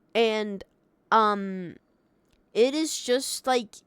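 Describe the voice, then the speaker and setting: The woman speaks with a fairly high pitch and ordinary pitch variation. Her sound is dry and close, with no echo. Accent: non-native. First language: not English. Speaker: Minecraft streamer. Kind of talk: casual livestream talk. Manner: halting, many fillers.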